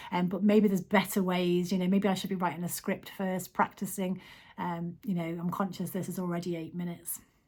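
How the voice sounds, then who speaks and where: A woman with a Manx accent, medium in pitch and somewhat breathy, at a fairly quick pace with monotone, flat intonation, on a very clean recording with a silent background. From Isle of Man. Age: 40s. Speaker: vlogger. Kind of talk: casual vlog monologue. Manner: hesitant, frequent ums.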